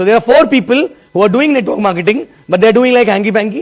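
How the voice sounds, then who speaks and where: An animated man with a high voice, a very fast pace, lively intonation and an Indian accent. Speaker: network marketing leader. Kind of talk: motivational talk.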